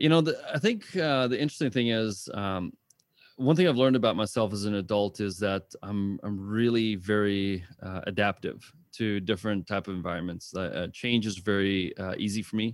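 A man with a plain, everyday voice talks at a moderate pace, fairly low in pitch with ordinary pitch variation. The recording is very clean, with a silent background. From South Africa, moved to small-town Texas at 13. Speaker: business consultant and CEO. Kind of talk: interview. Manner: casual, many filler words.

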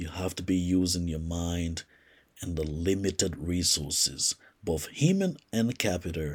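A man's very deep, low, somewhat breathy voice on a very clean recording with a silent background. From Liberia. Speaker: podcast host and entrepreneur. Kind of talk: solo podcast monologue. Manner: halting, many fillers.

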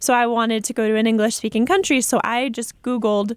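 A woman speaks with an American accent in a plain, everyday voice. Her pitch is fairly high, with ordinary pitch variation, at a moderate pace. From Massachusetts, Foxborough. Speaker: peace researcher and university student. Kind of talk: radio interview. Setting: studio.

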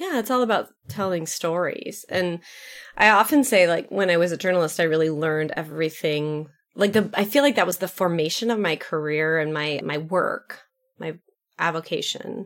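Speaking at a moderate pace with an American accent, a woman uses an unremarkable speaking voice, fairly low in pitch, with ordinary pitch variation. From United States. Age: 40s. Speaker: branding company founder, podcast co-host. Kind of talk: casual chat.

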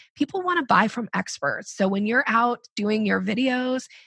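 A woman talks in an upbeat tone at a moderate pace. Her pitch varies in an ordinary way. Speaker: sales coach. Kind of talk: podcast interview. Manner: upbeat, rising intonation.

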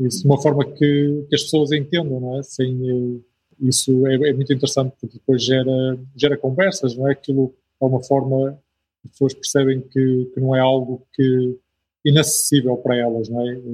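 A man with a European Portuguese accent speaks at medium pitch and a moderate pace. His tone is dark, mellow and somewhat breathy, with monotone, flat intonation. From northern Portugal. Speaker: missionary. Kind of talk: interview.

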